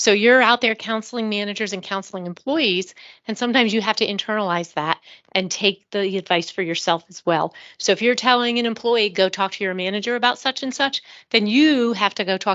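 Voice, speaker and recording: A woman with an ordinary speaking voice talks at a fairly quick pace, using a medium pitch and ordinary pitch variation. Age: 60s. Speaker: retired HR director, audience member. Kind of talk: audience comment. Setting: live event with audience.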